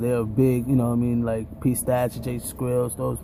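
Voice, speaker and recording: A man at a medium pitch, monotone and flat, at a moderate pace, with noticeable background noise. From South Central Los Angeles, California. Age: 20s. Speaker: drummer and musician. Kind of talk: casual vlog monologue. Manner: casual, filler-heavy.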